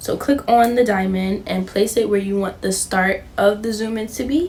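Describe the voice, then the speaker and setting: Her tone animated, a woman talks at a moderate pace against noticeable background noise. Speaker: YouTuber. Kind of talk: tutorial. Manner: stutters, says um a lot; casual, animated.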